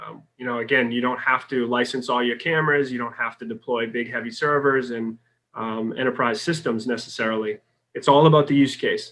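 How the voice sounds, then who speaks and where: Talking fairly quickly with a Boston accent, a man keeps his intonation fairly even. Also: medium pitch for a man. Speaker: sales executive. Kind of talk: podcast interview.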